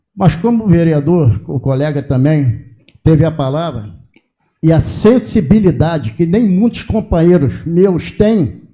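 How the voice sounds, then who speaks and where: This man has a dark, mellow tone and a high pitch with very wide swings. His pace is fairly slow. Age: 70s. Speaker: retired prison officer. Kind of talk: public hearing speech. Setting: legislative public hearing. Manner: halting.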